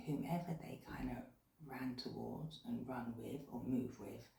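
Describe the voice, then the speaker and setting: Quiet and with a British accent, a woman talks at a fairly slow pace in audible room echo. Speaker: tarot reader. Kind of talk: tarot reading. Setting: at home late at night. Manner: speaking quietly.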